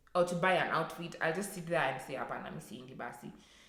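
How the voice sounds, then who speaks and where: A woman speaks with a fairly low pitch, and the room echo is audible. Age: 20s. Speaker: vlogger. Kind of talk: personal rant vlog. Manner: halting, many fillers.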